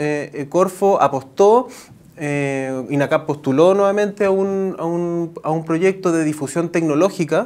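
A very slow male voice with ordinary pitch variation. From Chile. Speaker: innovation director at a technical university; interviewee. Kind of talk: TV news interview. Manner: halting, many fillers and false starts. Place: studio. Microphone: lapel.

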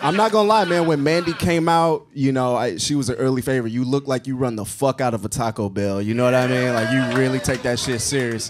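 A man talks at a very fast pace with hardly any pauses, at a medium pitch and with lively intonation. Music plays in the background. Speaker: comedian and roast judge. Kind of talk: stand-up roast insults.

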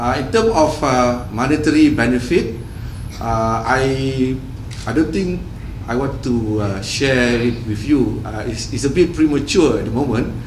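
A man's medium-pitched voice at a fairly slow pace, with ordinary pitch variation, light background noise and audible room echo. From Malaysia. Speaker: telecom executive. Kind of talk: press interview. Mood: polite, guarded. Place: hall. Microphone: handheld.

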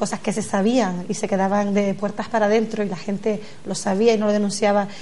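Here a woman talks. Her delivery is monotone and flat. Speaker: guest. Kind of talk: political debate answer. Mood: earnest, concerned. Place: studio.

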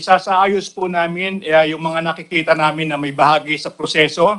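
A man's fairly high, bright, sharp voice, flat and monotone, at a fairly quick pace against a quiet background. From Philippines. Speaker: government labor secretary. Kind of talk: formal testimony at hearing. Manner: formal; halting. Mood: polite, measured, formal. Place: hall. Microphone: podium.

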